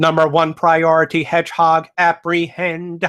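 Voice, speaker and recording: A man speaks in a put-on, robotic character voice pitched high for a man. His delivery is monotone and flat at a moderate pace. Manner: mechanical, commanding.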